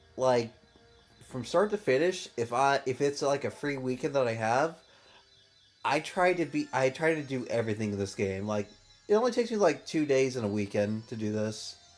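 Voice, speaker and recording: Music plays in the background as a man speaks at a medium pitch and moderate pace with lively intonation. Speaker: gaming YouTuber. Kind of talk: let's play commentary. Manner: halting, with many fillers; somewhat robotic when reading.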